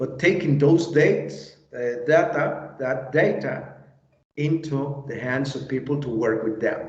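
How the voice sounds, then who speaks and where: Audible room echo surrounds a man with a fairly high pitch who speaks in a Spanish accent. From Mexico. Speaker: drone industry expert. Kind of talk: interview. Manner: halting.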